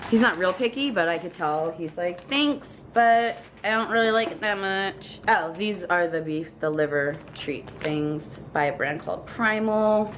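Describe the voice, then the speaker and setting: A woman of medium pitch with lively intonation, amid audible room echo and noticeable background noise. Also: fairly slow pace. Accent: Long Island. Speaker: pet vlogger. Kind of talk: casual product haul chat. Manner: chatty, talkative.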